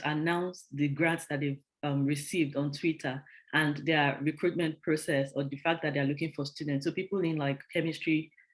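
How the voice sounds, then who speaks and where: Fairly quick delivery on a very clean recording with a silent background. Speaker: workshop presenter. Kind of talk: workshop talk. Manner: fast; hesitant, with many fillers.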